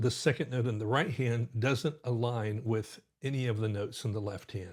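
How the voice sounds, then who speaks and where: On a very clean recording with a silent background, a man speaks at medium pitch and a moderate pace, with an animated tone, ordinary pitch variation and a somewhat breathy voice. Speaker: pianist and music teacher. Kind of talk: tutorial. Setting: live stream.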